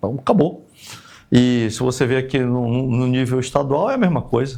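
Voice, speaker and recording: A man talks at a moderate pace in a somewhat breathy voice, on a very clean recording with a silent background. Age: 60s. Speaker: retired army colonel and politician. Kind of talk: podcast interview.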